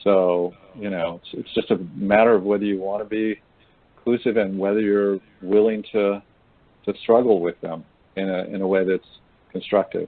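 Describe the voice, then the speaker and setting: A man's fairly low voice stays monotone and flat, broken by long, frequent pauses. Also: moderate pace. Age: 60s. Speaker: men's engagement trainer. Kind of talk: webinar discussion.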